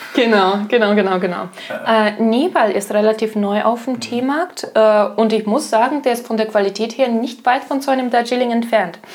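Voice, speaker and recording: Noticeable background noise sits behind a woman talking at a fairly quick pace with a fairly high pitch and ordinary pitch variation. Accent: slight Russian. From Russia. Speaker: tea shop employee, retail trainee. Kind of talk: casual chat. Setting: home kitchen.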